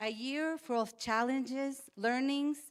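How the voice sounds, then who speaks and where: Speaking with a Spanish accent at a fairly slow pace, a woman uses a high pitch and ordinary pitch variation in a dry, close sound with no echo. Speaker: health NGO advocate. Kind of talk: prepared speech.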